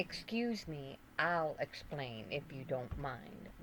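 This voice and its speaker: A rumbling put-on character voice sits at a low-to-middle pitch. It goes at a very slow pace, with clear background noise. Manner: interrupting, insistent.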